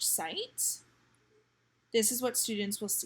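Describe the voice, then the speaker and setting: A woman speaks at medium pitch, somewhat breathy and in a flat monotone. The recording is very clean, with a silent background. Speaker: teacher. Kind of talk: tutorial.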